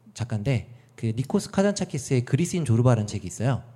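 A man talks in a dark, mellow tone at a medium pitch. His intonation is lively. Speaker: podcast guest with a varied career. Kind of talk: casual chat, interview. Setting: studio, meeting room.

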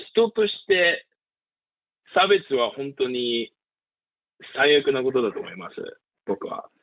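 A man speaks at a very slow pace with an English accent. His loudness swings widely, and long pauses come often. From US, Pennsylvania. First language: English (speaking Japanese). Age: 20s. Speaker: voter-registration volunteer field manager. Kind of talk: interview. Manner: halting, with fillers.

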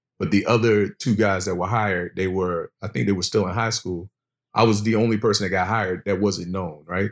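A man with a normal speaking voice and an American accent, at a fairly quick pace with fairly even intonation. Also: fairly low pitch for a man. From Virginia Beach, Virginia. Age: 40s. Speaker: fashion business founder. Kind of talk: casual interview.

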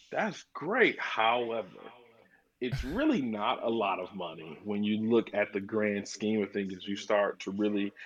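With an American accent, a man speaks at a fairly low pitch and a moderate pace. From Flint, Michigan. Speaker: digital marketer. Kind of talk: podcast interview. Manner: animated.

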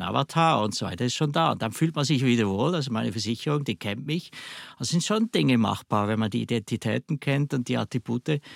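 Lively intonation and vocal fry come through at a fairly quick pace. The recording is very clean, with a silent background and a dry, close sound with no echo. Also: man. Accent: Swiss German. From Switzerland. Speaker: software company director. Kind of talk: interview.

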